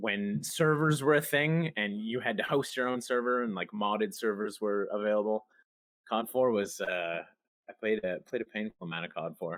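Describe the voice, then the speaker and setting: A man speaks at a moderate pace in a fairly low pitch. His intonation is lively. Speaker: streamer, gamer. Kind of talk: podcast interview, casual chat. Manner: loud.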